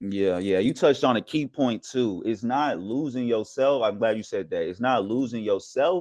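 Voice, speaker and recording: Moderate pace, ordinary pitch variation and hardly any pauses, against a quiet background. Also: man, medium pitch for a man. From US South. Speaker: podcast host, sports media worker. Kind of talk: casual chat.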